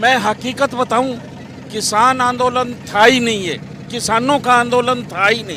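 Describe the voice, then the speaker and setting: Through noticeable background noise, a man uses a raised, projected voice at an extremely high pitch with fairly even intonation. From Haryana, India. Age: 60s. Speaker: tourist interviewee. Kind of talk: street interview.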